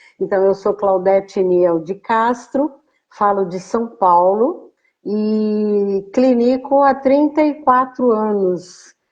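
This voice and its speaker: At a very slow pace, a woman speaks with fairly high pitch. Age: 70s. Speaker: clinician and educator, guest speaker. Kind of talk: live stream interview.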